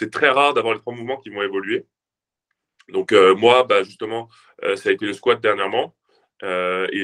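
A man's medium-pitched voice at a moderate pace, with fairly even intonation and a dry, close sound with no echo. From southern France. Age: 20s. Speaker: fitness influencer and powerlifter. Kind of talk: casual interview.

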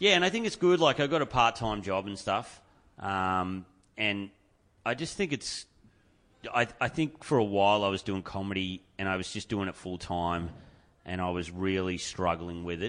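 A man with an Australian accent, fairly low in pitch, with ordinary pitch variation at a moderate pace over a quiet background. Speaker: stand-up comedian. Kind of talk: casual chat. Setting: studio.

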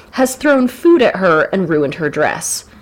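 Animated in tone, a woman with an American accent makes very wide pitch swings against noticeable background noise. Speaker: podcast host. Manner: joking, animated.

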